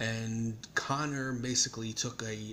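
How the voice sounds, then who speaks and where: Monotone, flat intonation from a man, with light background noise. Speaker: vlogger. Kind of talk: casual vlog commentary. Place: home room. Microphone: phone near.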